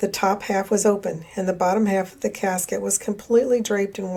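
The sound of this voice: Intonation stays fairly even as someone reads in an unforced reading voice.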